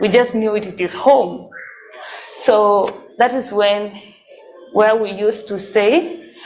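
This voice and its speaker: Against noticeable background noise and audible room echo, a woman with a fairly high pitch talks at a fairly slow pace with ordinary pitch variation. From South Sudan, raised in refugee camp in Kenya. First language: Dinka. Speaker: sponsored student telling life story. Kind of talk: testimony. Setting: church presentation.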